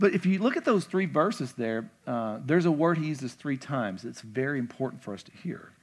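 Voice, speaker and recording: Moving at a fairly quick pace, a man with a fairly high pitch uses very wide pitch swings and big swings in loudness. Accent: Kentucky. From Kentucky, small town. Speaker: pastor. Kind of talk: casual, conversational church sermon, verse-by-verse teaching with asides. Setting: church stage with congregation. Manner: animated, chatty, with filler words and repeated stammered starts; emphatic repetition of key points.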